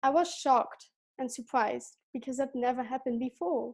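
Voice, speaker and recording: A woman speaks in a Dutch accent at a high pitch and a moderate pace. The background is quiet. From Belgium. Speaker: gap year student. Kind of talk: prepared presentation.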